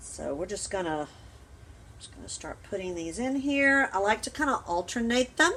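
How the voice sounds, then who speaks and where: In a Southern US accent, a woman talks at a moderate pace. Her pitch swings very widely. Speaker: home canning vlogger. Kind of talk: cooking tutorial. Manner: casual, rambling.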